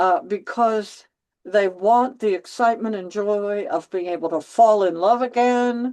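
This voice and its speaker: A woman speaks at a medium pitch in a dark, mellow tone with ordinary pitch variation. Her pace is fairly slow, and the background is quiet. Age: 70s. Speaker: counselor and author. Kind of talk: interview. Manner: halting, many fillers.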